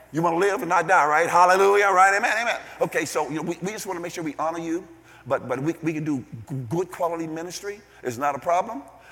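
A man speaks at a high pitch with ordinary pitch variation and a very fast pace. Noticeable background noise runs under his voice. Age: 60s. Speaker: visiting preacher. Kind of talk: sermon. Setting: church. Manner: animated.

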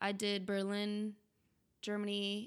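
Her tone bright and sharp, a woman with an American accent speaks at a medium pitch and a fairly slow pace. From Philadelphia. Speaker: university student. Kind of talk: casual chat.

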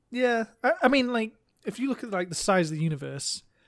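A man speaks in a normal speaking voice at a moderate pace. The recording is very clean, with a silent background. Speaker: podcast co-host. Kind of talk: casual chat.

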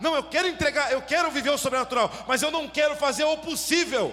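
An animated man with an extremely high pitch, raised and projected, bright and sharp in tone, at a fairly quick pace with ordinary pitch variation. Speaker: preacher. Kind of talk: sermon. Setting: church. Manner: animated, exhorting the congregation with fervent, rhythmic preaching; interactive, asks audience to shout along.

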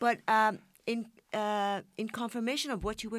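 A speaker with a Persian accent is heard in a very clean recording with a silent background. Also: woman. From Iran. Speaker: journalist. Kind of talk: panel discussion. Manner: halting.

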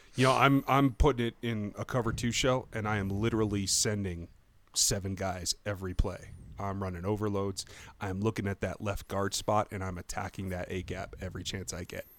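At a fairly quick pace, a normal speaking voice with an American accent holds a fairly even intonation. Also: man, fairly low pitch for a man. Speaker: podcast host. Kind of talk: casual chat.

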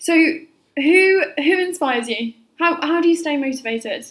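A woman's voice with ordinary pitch variation. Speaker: podcast host. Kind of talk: casual chat. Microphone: no microphone used, laptop-quality sound.

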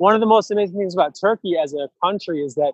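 A man's American accent with ordinary pitch variation. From Rochester, New York. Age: 30s. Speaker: city council member. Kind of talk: casual interview.

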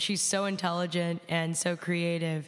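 A woman with an American accent and a plain, everyday voice speaks at a fairly slow pace in a fairly low pitch. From Chicago. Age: 20s. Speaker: rock musician. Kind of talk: classroom talk. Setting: classroom with live audience.

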